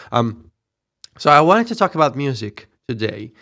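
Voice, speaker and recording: With a bright, sharp tone, a man keeps to a moderate pace. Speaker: podcast co-host. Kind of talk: casual chat. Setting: remote recording. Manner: halting.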